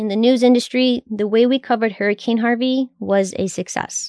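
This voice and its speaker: A woman with an American accent uses a normal speaking voice at a fairly high pitch and fairly quick pace, the sound dry and close with no echo against a quiet background. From South Texas, near Corpus Christi. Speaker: podcast host, former news video editor. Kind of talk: casual recollection; scripted narration.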